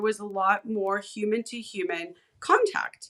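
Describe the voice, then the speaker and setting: A woman's fairly high-pitched voice with a bright, sharp tone. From California, San Fernando Valley. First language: Hebrew. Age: 40s. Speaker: independent researcher and content creator. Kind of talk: podcast interview conversation. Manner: animated.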